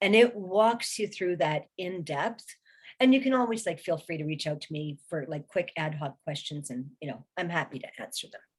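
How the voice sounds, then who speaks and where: A woman speaks at a fairly low pitch with lively intonation and a somewhat breathy quality. Her loudness swings widely. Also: moderate pace. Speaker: recruiting specialist and career strategist, author. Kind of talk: webinar presentation. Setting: online webinar.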